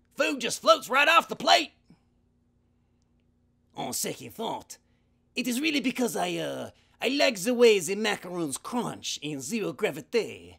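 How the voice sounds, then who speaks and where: A man uses a cartoonish character voice pitched high. He moves at a moderate pace with long, frequent pauses. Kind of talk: puppet audition. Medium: puppet.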